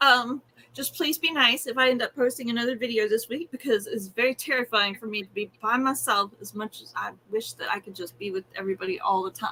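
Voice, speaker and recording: Speaking at a fairly quick pace, a woman with a fairly high pitch shows ordinary pitch variation and big swings in loudness. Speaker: yarn crafts content creator. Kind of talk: casual chat. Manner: fast.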